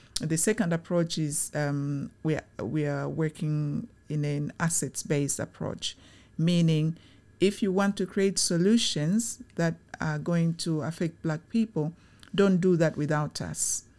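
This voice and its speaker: A woman's dark, mellow tone at a fairly slow pace, on a very clean recording with a silent background. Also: fairly low pitch for a woman, ordinary pitch variation. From Tanzania. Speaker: charity executive. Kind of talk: interview.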